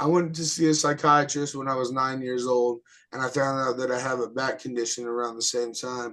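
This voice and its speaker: At a fairly quick pace, a man talks at medium pitch with fairly even intonation. His tone is bright and sharp. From New Mexico. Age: 30s. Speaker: rapper. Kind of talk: casual interview.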